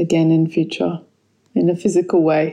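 Against a quiet background comes a dark, mellow voice with an Australian accent. The pace is fairly slow and the intonation monotone and flat. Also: woman. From Australia, Sydney. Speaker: yoga teacher and kirtan leader. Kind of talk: recorded voice message; casual interview.

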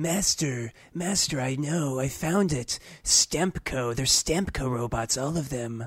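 Using a put-on character voice, a man speaks fairly slowly at a medium pitch. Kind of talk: comic overacting. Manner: fawning, apologetic, eager.

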